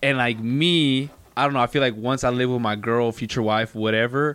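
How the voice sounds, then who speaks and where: Medium in pitch, a man with an ordinary speaking voice talks with ordinary pitch variation in a very clean recording over a silent background. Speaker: recurring podcast guest. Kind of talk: casual chat.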